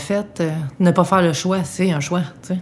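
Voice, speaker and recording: A woman with a normal speaking voice, fairly low pitch and fairly even intonation. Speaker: interviewee with cancer. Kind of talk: intimate interview. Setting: at home in apartment.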